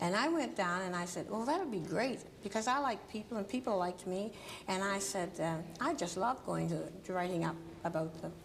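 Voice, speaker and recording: Talking at a fairly quick pace, a woman with a Nova Scotia accent has a medium pitch and lively intonation. Room echo is audible. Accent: Canadian Maritime (Nova Scotia). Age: 70s. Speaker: journalist and civil rights activist, author. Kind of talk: TV talk show interview. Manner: halting.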